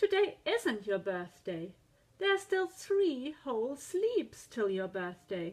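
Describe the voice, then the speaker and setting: A woman puts on a high-pitched character voice with very wide pitch swings at a fairly slow pace. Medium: read story. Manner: gentle, patient.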